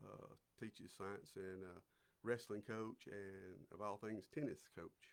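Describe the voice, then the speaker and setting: Fairly low in pitch, a man talks at a very slow pace with ordinary pitch variation. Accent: Alabama. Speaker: city councilman. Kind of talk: casual interview. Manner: halting, many repeated words.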